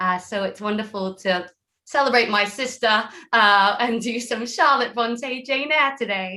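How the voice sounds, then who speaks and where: Talking at a fairly slow pace with an English accent, a woman has a fairly high pitch, ordinary pitch variation and a bright, sharp tone. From England. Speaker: actor. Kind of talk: self-introduction.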